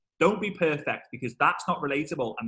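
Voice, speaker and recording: A man talks at a fairly quick pace with a Liverpool accent and lively intonation. His tone is bright and sharp. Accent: Liverpool (Scouse) English. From northern England, Liverpool. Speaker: network marketing trainer. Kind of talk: webinar interview. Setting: video call. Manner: fast; animated.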